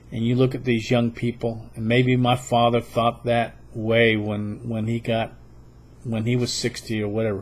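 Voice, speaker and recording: A man speaks at a moderate pace with a medium pitch. His intonation is monotone and flat. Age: 60s. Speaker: political video blogger. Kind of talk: political monologue. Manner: halting.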